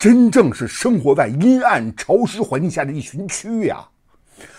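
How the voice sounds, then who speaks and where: Against a quiet background, a man with a high pitch moves at a moderate pace, his voice swinging very widely in pitch. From mainland China. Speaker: online commentator. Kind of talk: casual monologue. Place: home room.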